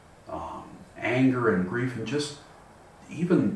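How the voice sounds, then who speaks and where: In a room with audible echo and noticeable background noise, a man speaks at a medium pitch with lively intonation. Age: 60s. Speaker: person with vision loss sharing experience. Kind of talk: personal reflection monologue. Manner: halting, many repetitions.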